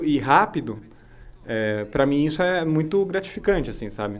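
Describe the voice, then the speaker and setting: A man speaks in an ordinary speaking voice at a moderate pace, his intonation lively. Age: 30s. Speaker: podcast co-host, kung fu student and musician. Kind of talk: casual chat.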